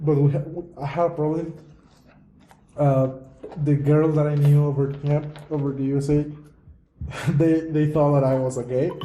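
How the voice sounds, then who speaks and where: A man speaks in a somewhat breathy, dark and mellow voice at a fairly high pitch, his flat, monotone delivery broken by long, frequent pauses and carried on an audible room echo. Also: moderate pace. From Mexico. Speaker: podcast host. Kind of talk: casual chat.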